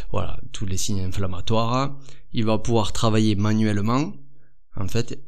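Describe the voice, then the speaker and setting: Heard with audible room echo, a man with a southern French accent speaks at a fairly low pitch. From southern France. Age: 30s. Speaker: physiotherapist and osteopath. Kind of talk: podcast interview. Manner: hesitant, many fillers.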